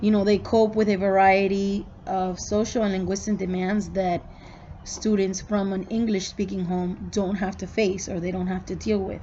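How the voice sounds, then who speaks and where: In a Spanish accent, a woman talks at a moderate pace and medium pitch, somewhat breathy, with monotone, flat intonation and audible room echo. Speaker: student. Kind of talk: recorded class reflection. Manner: casual, with fillers.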